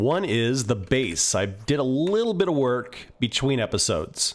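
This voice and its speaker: In a very clean recording with a silent background, a man with a relaxed tone speaks at medium pitch, his voice making very wide pitch swings. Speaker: gaming video creator. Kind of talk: let's play commentary.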